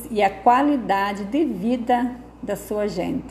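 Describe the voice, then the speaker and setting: A woman with a fairly high pitch and ordinary pitch variation, against noticeable background noise. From southern Brazil, Rio Grande do Sul. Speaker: local narrator presenting her town. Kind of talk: scripted narration. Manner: formal.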